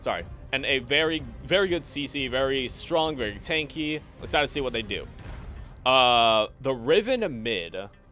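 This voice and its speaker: A man speaks at a moderate pace with a fairly high pitch and lively intonation, music playing in the background. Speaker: esports caster. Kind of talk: live commentary. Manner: halting, stuttering.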